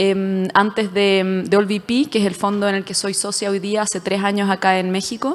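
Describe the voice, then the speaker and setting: With a Chilean accent, the speaker goes at a moderate pace with hardly any pauses and a monotone, flat intonation. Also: woman, medium pitch for a woman. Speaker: venture capital investor. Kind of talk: panel discussion.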